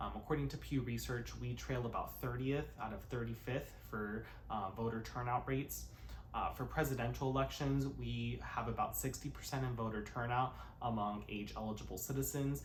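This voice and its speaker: Speaking with an American accent at a moderate pace, a man is heard with audible room echo. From US, California. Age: 20s. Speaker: YouTuber, cover singer turned commentator. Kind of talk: vlog-style commentary to camera. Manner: frequent filler words (uh, um).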